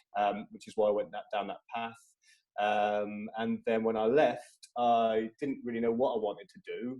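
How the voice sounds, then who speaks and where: A man with a slight Midlands accent talks at a moderate pace in a monotone, flat intonation. His loudness swings widely. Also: medium pitch for a man. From English Midlands, Tamworth. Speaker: social impact lead at a tech company. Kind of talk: casual interview. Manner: hesitant, many fillers.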